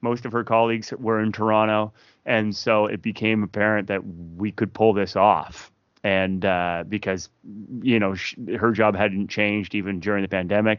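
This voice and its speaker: This man has a Maritime Canadian accent and a fairly low pitch. His intonation stays monotone and flat. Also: moderate pace. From Fredericton, New Brunswick, Canada. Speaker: singer-songwriter. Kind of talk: casual interview.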